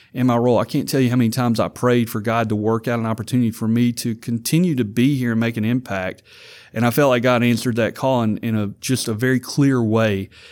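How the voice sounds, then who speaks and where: On a very clean recording with a silent background, a man speaks at medium pitch. His intonation is fairly even and his pace very fast. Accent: Louisiana. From Louisiana (Vidalia). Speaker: university student activities director. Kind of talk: interview.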